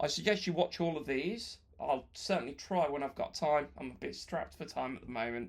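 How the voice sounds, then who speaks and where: A man's fairly high voice with vocal fry and lively intonation, at a moderate pace, on a very clean recording with a silent background. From West Midlands, England (Wolverhampton). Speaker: YouTuber, British expat in Russia. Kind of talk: Q&A video answering viewer comments.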